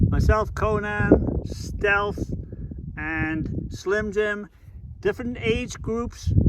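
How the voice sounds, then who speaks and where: A man talks at a very slow pace. Noticeable background noise runs behind him. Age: 60s. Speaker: long-distance hiker. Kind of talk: casual chat.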